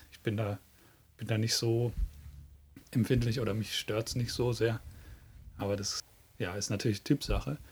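A man with a medium pitch and a somewhat breathy voice speaks at a moderate pace with fairly even intonation, big swings in loudness, and long, frequent pauses. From southern then northern Germany. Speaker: podcast co-host. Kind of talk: casual chat.

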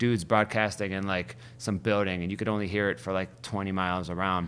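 A man with an American accent speaks at a fairly quick pace and fairly low pitch in a normal speaking voice. The recording is very clean, with a silent background. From Ohio, US (Youngstown). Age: 40s. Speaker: DJ. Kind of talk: casual interview chat.

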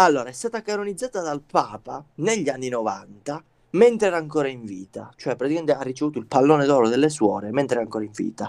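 A man with a fairly high voice talks at a very fast pace, his pitch swinging very widely. The recording is very clean, with a silent background. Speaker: podcast co-host. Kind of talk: casual chat.

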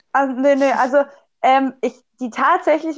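A woman with a slight Swabian accent speaks in a high voice with fairly even intonation. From Swabia, southwestern Germany. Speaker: physiotherapist and student athlete. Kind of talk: casual chat.

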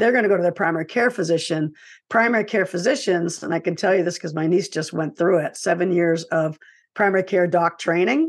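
An unremarkable speaking voice from a woman, medium in pitch, with lively intonation and a fairly quick pace over a quiet background. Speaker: author and filmmaker. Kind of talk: casual interview.

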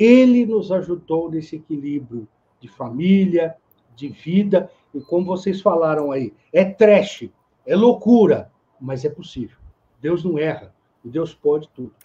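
A high-pitched man's voice with a dark, mellow tone, lively intonation, big swings in loudness, a fairly slow pace and long, frequent pauses. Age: 50s. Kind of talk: casual chat.

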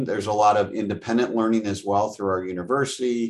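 Against a quiet background, this is a plain, everyday voice with ordinary pitch variation. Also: man. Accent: American. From Wisconsin, US Midwest. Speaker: franchise development director. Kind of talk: interview.

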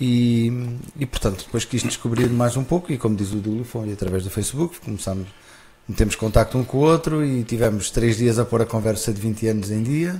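A man talks at medium pitch and a moderate pace in a dark, mellow tone. His voice is somewhat breathy, with ordinary pitch variation. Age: 40s. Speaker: festival founder. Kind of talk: casual interview. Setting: live broadcast.

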